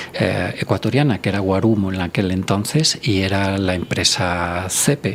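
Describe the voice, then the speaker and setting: Amid noticeable background noise, a man talks at a very slow pace. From Spain, rural coastal village. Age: 60s. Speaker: doctor and environmental researcher. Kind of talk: podcast interview.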